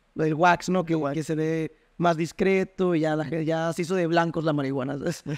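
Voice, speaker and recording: A man speaks at a fairly high pitch and moderate pace with fairly even intonation. Behind him the background is quiet. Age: 20s. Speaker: university student; interview guest. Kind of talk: casual chat. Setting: at home. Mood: relaxed, candid storytelling. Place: home room. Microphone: studio mic.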